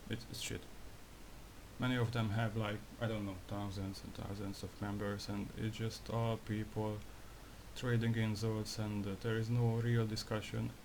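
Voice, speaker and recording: A man's fairly low, monotone, flat voice in a non-native accent, at a moderate pace with audible room echo. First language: not English. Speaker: graphic designer, video creator. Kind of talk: casual monologue vlog. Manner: halting, repeats himself; disfluent with filler swearing.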